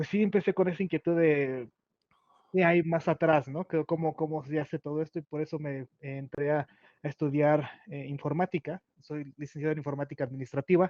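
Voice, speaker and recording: With a Mexico City accent, a man speaks at a moderate pace in a fairly high pitch, keeping his intonation fairly even. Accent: Mexican Spanish (Mexico City). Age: 30s. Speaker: Scrum/agile consultant. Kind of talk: interview. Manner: halting, many fillers.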